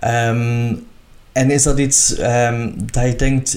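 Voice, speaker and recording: This is a man with a medium pitch. Noticeable background noise runs behind him. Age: 30s. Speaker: podcast host, retired drag queen. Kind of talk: casual interview chat.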